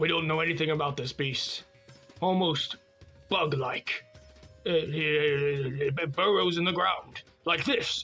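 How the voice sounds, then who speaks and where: Over faint background music, a man speaks fairly slowly in a raspy, put-on character voice pitched fairly high. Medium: actual play. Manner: stern, blunt.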